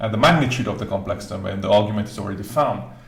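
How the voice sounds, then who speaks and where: A man talks with ordinary pitch variation. Audible room echo and noticeable background noise surround him. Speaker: maths teacher. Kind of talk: tutorial.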